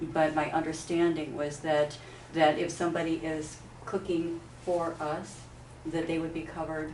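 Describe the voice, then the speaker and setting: A woman speaks at a moderate pace, her pitch very deep and low, her intonation monotone and flat. Noticeable background noise and audible room echo surround her. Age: 70s. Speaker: organizer of a plant-based nutrition group. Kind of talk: informational group meeting. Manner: halting, many fillers.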